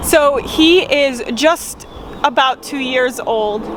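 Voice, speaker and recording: A woman talks with an American accent. Noticeable background noise runs under her voice. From Rhode Island. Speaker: farm vlogger. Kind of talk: casual vlog talk.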